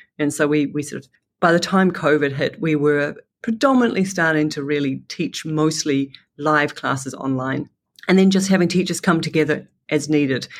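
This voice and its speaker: Over a silent background in a very clean recording, a woman with a New Zealand accent speaks at a moderate pace in a very deep, low pitch with ordinary pitch variation. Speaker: education entrepreneur. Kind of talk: interview. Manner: halting.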